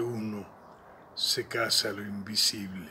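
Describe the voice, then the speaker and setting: Light background noise sits under a man speaking at a very slow pace. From Salta, northwestern Argentina; Argentina. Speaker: poet. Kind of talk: poetry reading. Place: garden.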